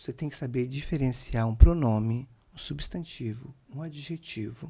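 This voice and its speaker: A man's dark, mellow, somewhat breathy voice shows ordinary pitch variation and big swings in loudness. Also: medium pitch for a man, moderate pace. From Brazil, Santa Catarina (Sombrio), rural. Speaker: chef and restaurant owner. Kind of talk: podcast interview. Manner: halting, self-correcting.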